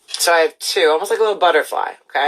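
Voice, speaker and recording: Speaking at a fairly quick pace, a woman sounds animated. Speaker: art teacher. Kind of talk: tutorial. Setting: livestream.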